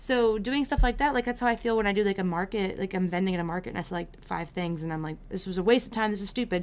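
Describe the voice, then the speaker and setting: Barely pausing at all, a woman rushes along at a very fast pace, at medium pitch with ordinary pitch variation. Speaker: podcast host. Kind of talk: casual chat. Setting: video call.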